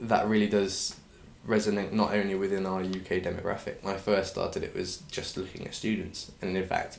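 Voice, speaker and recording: Audible room echo surrounds a man's voice. He talks at a fairly quick pace with an English accent. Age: 20s. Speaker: clothing brand founder. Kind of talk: interview.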